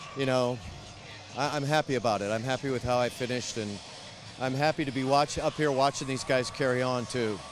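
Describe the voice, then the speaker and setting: Against music in the background, a man talks at a fairly quick pace with medium pitch and fairly even intonation. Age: 60s. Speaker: retired high school football coach. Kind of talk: sideline interview. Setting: outdoors at football stadium. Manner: halting, repeats words.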